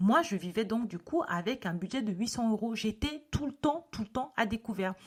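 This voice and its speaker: A woman talks at a fairly quick pace with lively intonation. Her voice is somewhat breathy. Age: 30s. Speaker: podcast host. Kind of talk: podcast monologue. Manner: casual, with frequent filler sounds.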